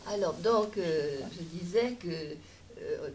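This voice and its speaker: A woman's dark, mellow, somewhat breathy voice carries audible room echo. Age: 80s+. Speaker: audience member. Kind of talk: Q&A discussion. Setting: public lecture hall with audience.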